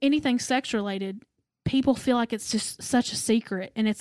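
Fairly high-pitched speech from a woman with an East Tennessee accent, ordinary pitch variation, a very clean recording with a silent background, and a dry, close sound with no echo. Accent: Southern US (East Tennessee). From US South, Knoxville, Tennessee. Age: 20s. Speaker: podcast guest. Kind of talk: casual chat.

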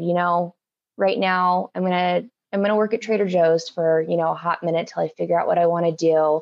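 A woman with an American accent speaks in an unremarkable speaking voice, fairly low in pitch with fairly even intonation. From Oregon, US Pacific Northwest. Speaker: plant business founder. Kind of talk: casual interview chat.

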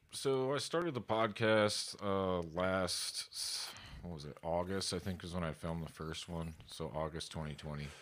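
Speaking with an American accent and a very deep, low pitch, a man keeps a moderate pace with hardly any pauses and ordinary pitch variation on a very clean recording with a silent background. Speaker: podcaster and drummer. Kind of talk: casual interview chat.

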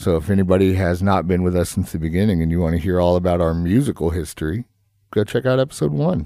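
Very deep and low, a man's voice with a dark, mellow tone races at a very fast pace with ordinary pitch variation in a very clean recording with a silent background. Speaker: podcast host, tattoo shop owner. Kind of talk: casual chat. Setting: studio. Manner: animated when projecting, relaxes over time.

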